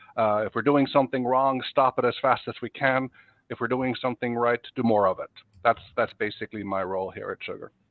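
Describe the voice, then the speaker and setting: Speaking at a fairly quick pace, a man has a Norwegian accent. His pitch is medium and his intonation fairly even. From Norway. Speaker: software executive. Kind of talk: podcast interview.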